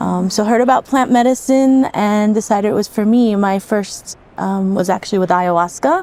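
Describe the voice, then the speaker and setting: With a New York accent, a woman speaks at a moderate pace with hardly any pauses, medium pitch for a woman, ordinary pitch variation and very even loudness. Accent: New York American. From New York, US. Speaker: psychedelic retreat coordinator and facilitator. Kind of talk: podcast interview.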